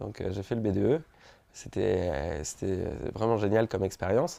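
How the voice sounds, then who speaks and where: Here a man talks at a moderate pace. His fairly low pitch shows ordinary variation. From French Polynesia (Tahiti). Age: 20s. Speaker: social entrepreneur. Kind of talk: interview testimony. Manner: hesitant, many fillers and repetitions.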